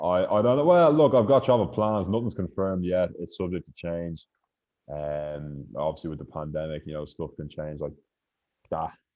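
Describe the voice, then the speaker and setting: With a Dublin accent, a man with a very deep, low pitch talks at a moderate pace, his intonation lively and his loudness swinging widely. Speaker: podcast host. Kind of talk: casual chat.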